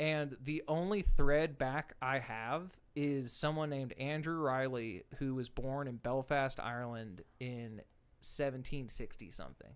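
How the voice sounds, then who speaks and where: With a Southern accent, a man talks at a fairly slow pace with hardly any pauses, in a very clean recording with a silent background. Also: medium pitch for a man, ordinary pitch variation. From US South, Arkansas (rural outside Little Rock). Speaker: country singer-songwriter. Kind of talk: casual chat.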